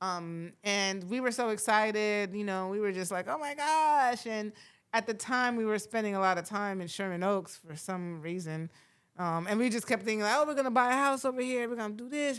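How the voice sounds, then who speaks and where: Against a silent background in a very clean recording, a woman with an American accent talks at a fairly quick pace. She has an ordinary speaking voice, a fairly high pitch and ordinary pitch variation. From Florida. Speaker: podcast host and TV writer-producer. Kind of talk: casual podcast conversation. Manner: relaxed, many fillers.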